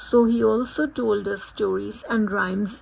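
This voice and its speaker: In a Punjabi accent, a woman speaks at a fairly slow pace. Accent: Indian English, Punjabi. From India, Punjab. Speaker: student. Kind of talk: scripted narration.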